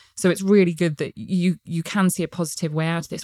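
In a southern English accent, a woman with a fairly low pitch talks at a moderate pace. The sound is dry and close with no echo, in a very clean recording with a silent background. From England, Gloucestershire. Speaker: podcast host, company CEO. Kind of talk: interview.

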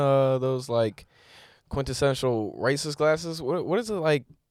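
On a very clean recording with a silent background, a man with an ordinary speaking voice talks at a moderate pace with ordinary pitch variation. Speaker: comedian podcast host. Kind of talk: casual comedic banter.

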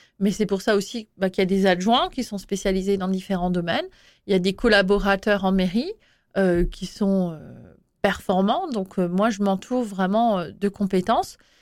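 Recorded very cleanly against a silent background, the speaker has a normal speaking voice with fairly even intonation and a moderate pace. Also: woman, medium pitch for a woman. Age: 40s. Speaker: mayor. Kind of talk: interview.

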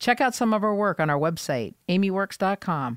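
A woman with an American accent speaks in an unremarkable speaking voice at medium pitch, her intonation lively. The recording is very clean and silent behind her, dry and close with no echo. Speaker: general contractor and podcast host. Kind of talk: casual interview chat. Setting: studio.

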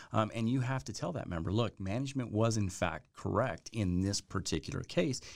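Lively intonation marks this speech in an American accent at a moderate pace. The recording is very clean with a silent background. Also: man. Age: 40s. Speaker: union president, border patrol agent. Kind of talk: casual interview. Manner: hesitant, filler-laden.

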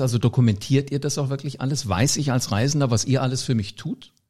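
A man's somewhat breathy, dark, mellow voice at a medium pitch and a very fast pace, with ordinary pitch variation and a very clean recording with a silent background. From Hesse, Germany. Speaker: podcast host. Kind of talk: interview.

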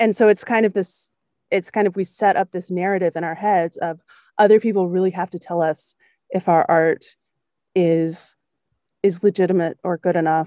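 A woman with an American accent speaks at medium pitch and a moderate pace, her dark, mellow tone and fairly even intonation set off by long, frequent pauses in a dry, close sound with no echo. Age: 30s. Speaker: podcast host, opera singer. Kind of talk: casual conversation interview.

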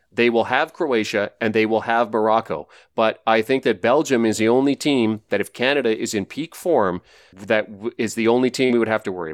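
A normal speaking voice from a man, medium in pitch with ordinary pitch variation, at a fairly quick pace, in a dry, close sound with no echo and a very clean recording with a silent background. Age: over 25. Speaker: sports betting analyst. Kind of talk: casual chat.

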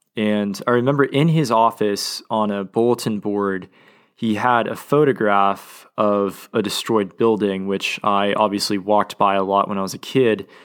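In an Oklahoma accent, the speaker keeps a moderate pace and fairly even intonation on a very clean recording with a silent background. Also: man, fairly low pitch for a man. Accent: Oklahoman, Southern-leaning US. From Oklahoma City, US. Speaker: podcast host, law student. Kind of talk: scripted-feeling solo podcast monologue. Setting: studio. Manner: hesitant, filler-heavy, reflective.

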